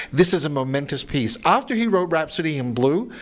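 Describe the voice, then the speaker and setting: Noticeable background noise runs through the clip. Over it, a man talks with lively intonation. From Australia, Sydney. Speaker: orchestra conductor. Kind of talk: TV interview.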